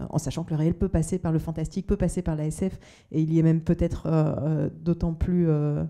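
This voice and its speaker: This woman's voice sits at a fairly low pitch, with a dark, mellow tone. Her intonation is monotone and flat. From Belgium. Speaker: novelist. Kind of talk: panel discussion. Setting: book fair talk with audience. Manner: halting, many fillers.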